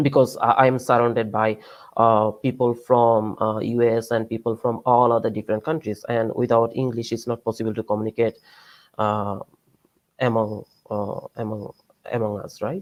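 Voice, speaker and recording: A man's medium-pitched, monotone, flat delivery at a moderate pace. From Bangladesh. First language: Bengali. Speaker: PhD student and researcher. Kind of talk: lecture. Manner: halting, many fillers.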